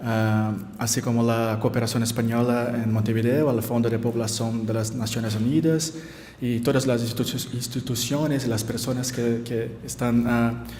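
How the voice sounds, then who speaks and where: A man at medium pitch with a Brazilian accent, monotone and flat in intonation at a moderate pace, amid audible room echo and noticeable background noise. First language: Portuguese (speaking Spanish). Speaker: anthropologist. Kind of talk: conference talk. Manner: halting, many fillers.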